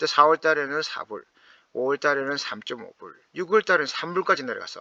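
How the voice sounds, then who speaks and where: A man speaks at a fairly quick pace with a fairly high pitch and a bright, sharp tone. The sound is dry and close, with no echo. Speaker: stock investing YouTuber. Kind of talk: casual explainer monologue. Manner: animated, conversational.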